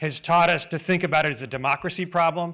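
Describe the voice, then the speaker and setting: A man with an American accent races along at a very fast pace in a bright, sharp tone, captured on a very clean recording with a silent background. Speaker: advocacy group president. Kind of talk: conference speech. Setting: stage with audience.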